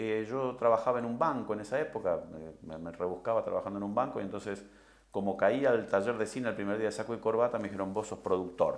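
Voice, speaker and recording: This man talks at a very fast pace with a medium pitch and ordinary pitch variation. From Argentina, Rosario. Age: 60s. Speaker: film director. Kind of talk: interview. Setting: recorded interview. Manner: hesitant, many fillers.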